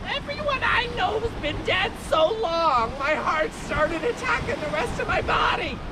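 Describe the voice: Over loud background noise, a put-on character voice, croaky and at an extremely high pitch, moves at a moderate pace.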